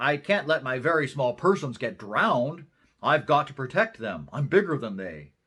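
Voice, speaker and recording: On a very clean recording with a silent background, a man uses a fairly high-pitched put-on character voice at a moderate pace. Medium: read story.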